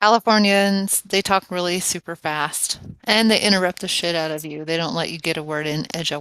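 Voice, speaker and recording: The tone is bright and sharp, the sound dry and close with no echo, and the pitch varies in an ordinary way. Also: woman, fairly low pitch for a woman. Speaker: live stream chat participant. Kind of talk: casual chat.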